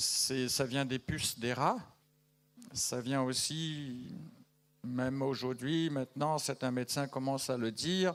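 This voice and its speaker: This man talks at a very slow pace and medium pitch, with very even loudness and fairly even intonation. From Madagascar. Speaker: missionary giving news to a church. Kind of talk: church news update to congregation. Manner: conversational, hesitant with fillers.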